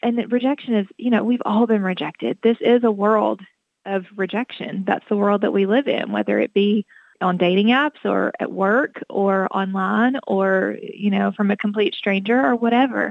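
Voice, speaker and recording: A woman speaks in a plain, everyday voice at medium pitch and a moderate pace, with ordinary pitch variation and very even loudness. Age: 40s. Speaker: author. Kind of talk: interview.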